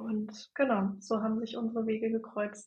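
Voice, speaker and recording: A woman's fairly high voice moves at a fairly slow pace. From northern Germany, near Bremen. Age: 30s. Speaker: human design coach. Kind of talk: interview.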